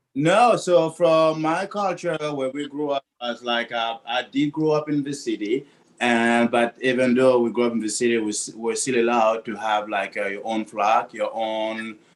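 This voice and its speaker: A man speaks with a French accent. He hardly pauses at all. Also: medium pitch for a man, ordinary pitch variation, moderate pace. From Burkina Faso. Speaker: bakery-cafe owner, baker. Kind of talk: casual interview.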